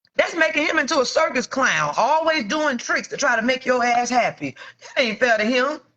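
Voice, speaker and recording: A woman talks in a raised, projected voice at a high pitch with ordinary pitch variation. Her pace is moderate, with hardly any pauses. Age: 40s. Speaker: entrepreneur. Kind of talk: casual livestream talk to viewers. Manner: casual, frank.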